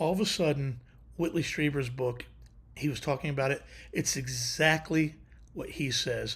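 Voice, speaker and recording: The recording is very clean with a silent background. A man speaks at a moderate pace and a fairly high pitch. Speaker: livestream host. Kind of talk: casual chat. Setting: live stream with chat.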